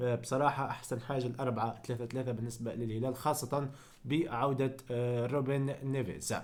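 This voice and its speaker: A man at medium pitch in a monotone, flat intonation, with hardly any pauses. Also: moderate pace. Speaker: football YouTuber. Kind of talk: football analysis vlog. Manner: hesitant, many fillers.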